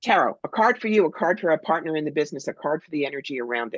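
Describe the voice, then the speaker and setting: Someone with an American accent speaks at a very fast pace in a dry, close sound with no echo. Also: woman. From New Jersey, Cherry Hill. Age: 60s. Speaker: psychic medium. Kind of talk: interview. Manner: animated.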